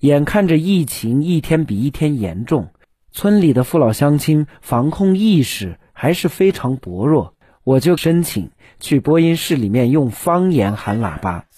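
The tone is dark and mellow, and somewhat breathy. Pitch swings are very wide. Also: man, fairly high pitch for a man, fairly slow pace, very clean recording, silent background. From Qujing, Yunnan, China. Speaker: rural entrepreneur and livestream seller. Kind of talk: personal testimony speech.

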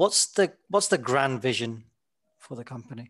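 Against a quiet background, a man talks in a normal speaking voice at medium pitch and a moderate pace. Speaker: podcast host. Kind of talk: interview conversation.

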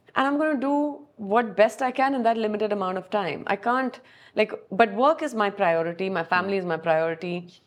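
With an ordinary speaking voice, a woman talks at a fairly quick pace and medium pitch, her intonation lively. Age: 40s. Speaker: business executive and amateur triathlete. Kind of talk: podcast interview.

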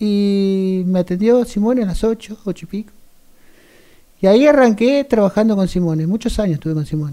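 In an Argentine accent, the speaker talks at a fairly quick pace. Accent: Rioplatense Argentine Spanish. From Argentina, rural Buenos Aires province. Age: 40s. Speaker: mechanic and amateur aircraft builder. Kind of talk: casual interview.

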